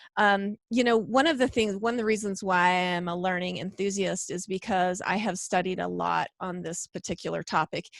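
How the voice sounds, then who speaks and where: A woman with a Western US accent speaks at a moderate pace and medium pitch with fairly even intonation and hardly any pauses, in a dry, close sound with no echo. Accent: Western twang. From Idaho, US West. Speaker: homeschooling presenter and podcaster. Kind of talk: online class presentation. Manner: hesitant, many fillers.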